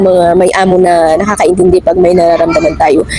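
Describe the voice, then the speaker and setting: Over music in the background, a woman talks at a fairly quick pace. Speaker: domestic worker vlogger. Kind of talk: casual vlog. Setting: outdoors in a park.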